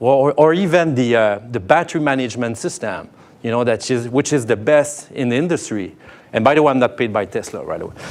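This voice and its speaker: A man's mid-range voice moves along fairly quickly, its pitch varying in an ordinary way. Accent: French. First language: French. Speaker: tech company sales lead. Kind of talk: keynote talk. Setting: stage with audience. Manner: halting, many fillers.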